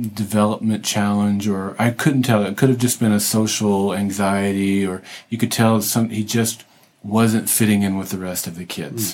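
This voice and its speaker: This man has an ordinary speaking voice, fairly low in pitch, at a moderate pace. The recording is very clean, with a silent background. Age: 50s. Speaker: podcast host on a church mission trip. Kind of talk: casual interview. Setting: makeshift podcast booth in a hotel.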